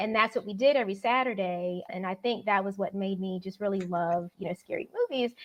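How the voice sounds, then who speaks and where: A woman speaks in a plain, everyday voice with an American accent, at medium pitch with ordinary pitch variation. Her pace is fairly quick. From Florida. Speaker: novelist. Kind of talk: interview. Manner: casual, uses many fillers.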